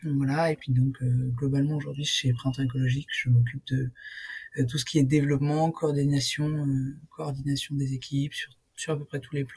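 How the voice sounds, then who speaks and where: A woman with a very deep, low pitch and a dark, mellow, somewhat breathy tone talks at a moderate pace in a monotone, flat intonation. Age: 20s. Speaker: union co-founder. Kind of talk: interview. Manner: hesitant, many fillers.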